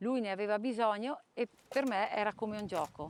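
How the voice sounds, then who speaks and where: A woman's fairly high-pitched voice, an ordinary speaking voice with ordinary pitch variation and a dry, close sound with no echo. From Trentino, northern Italy. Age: 50s. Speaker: person living with chronic illness. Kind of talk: testimony.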